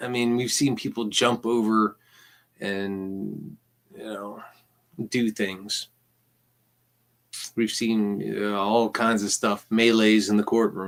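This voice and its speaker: The recording is very clean, with a silent background. A man with a fairly low pitch speaks very slowly in a monotone, flat intonation, leaving long, frequent pauses. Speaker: vlogger recounting court visits. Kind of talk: casual vlog monologue. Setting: at home. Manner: halting, repetitive.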